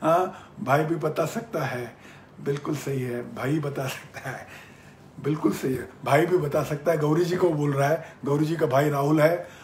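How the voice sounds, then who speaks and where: A man talks with fairly high pitch and fairly even intonation. Audible room echo surrounds his voice. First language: Marathi (speaking Hindi). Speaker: business mentor. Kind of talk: live-stream Q&A. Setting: Facebook live session.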